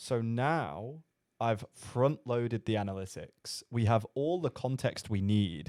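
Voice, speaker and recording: On a very clean recording with a silent background, a man with a British accent speaks in a dark, mellow tone with ordinary pitch variation, the sound dry and close with no echo. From Britain. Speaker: sales coach. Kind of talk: commentary on a recorded call.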